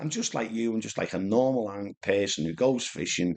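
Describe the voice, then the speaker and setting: A man with a Liverpool accent speaks at a moderate pace with ordinary pitch variation. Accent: Scouse (Liverpool). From Liverpool, England (Speke). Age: 50s. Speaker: carp angler, vlogger. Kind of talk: casual storytelling monologue. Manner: rambling, hesitant with repetitions.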